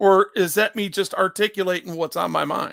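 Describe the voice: A loud man talks at a moderate pace with high pitch for a man, a fairly bright tone and fairly even intonation. His voice sounds strained and gravelly, with vocal fry.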